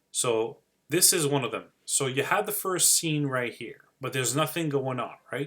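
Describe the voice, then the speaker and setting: The voice carries a strong Quebec accent. Its tone is bright and sharp. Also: man. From Quebec City, Canada. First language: French. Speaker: digital marketing YouTuber. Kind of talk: live-stream tutorial. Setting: live stream screen share. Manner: hesitant, many fillers.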